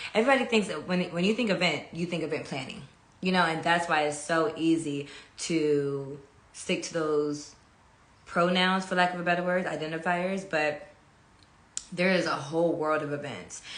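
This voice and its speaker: Audible room echo surrounds a woman's fairly low-pitched voice. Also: ordinary pitch variation, moderate pace. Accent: American. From California. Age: 20s. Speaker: event producer and channel host. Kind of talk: casual monologue on a live stream. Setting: Instagram live stream. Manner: casual, with many fillers.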